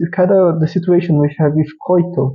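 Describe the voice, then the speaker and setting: A man speaks with fairly even intonation in a fairly high voice. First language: not English. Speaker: vtuber anime reviewer. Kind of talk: casual review monologue. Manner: halting, with restarts.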